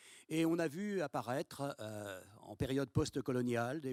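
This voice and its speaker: A man speaks very slowly with lively intonation in a dry, close sound with no echo. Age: 80s+. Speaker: conference speaker. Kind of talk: panel discussion answer. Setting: auditorium with audience. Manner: hesitant, casual.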